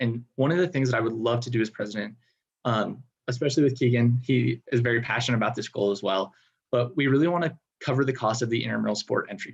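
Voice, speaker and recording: Somewhat breathy, a man speaks at a very fast pace with a medium pitch and ordinary pitch variation. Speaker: student government candidate. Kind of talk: debate answers. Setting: video call.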